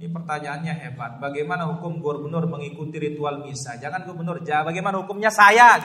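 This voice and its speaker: The pace is fairly quick. The voice is raised and projected. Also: man. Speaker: Islamic preacher. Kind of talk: religious lecture. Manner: loud.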